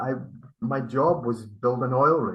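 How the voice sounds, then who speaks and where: With a Scottish accent, a man talks at a fairly slow pace. His pitch is medium with ordinary variation. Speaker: spiritual healer. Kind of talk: interview. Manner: halting.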